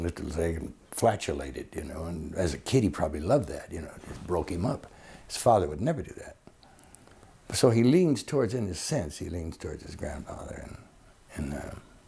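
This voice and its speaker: A man speaks at a very deep, low pitch in a dark, mellow, somewhat breathy tone. His pace is fairly quick and his intonation lively. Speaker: actor. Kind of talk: interview answer. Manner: colloquial storytelling, humorous.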